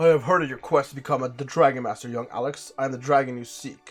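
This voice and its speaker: Over faint background music, a man does a put-on character voice at medium pitch and a very fast pace. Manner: grand, ominous.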